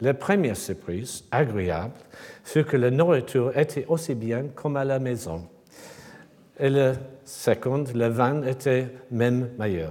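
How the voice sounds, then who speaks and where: Very slowly and with long, frequent pauses, a man with an English accent speaks in a dark, mellow tone of medium pitch with lively intonation. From England. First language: English (speaking French). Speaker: sculptor. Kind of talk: lecture. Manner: halting.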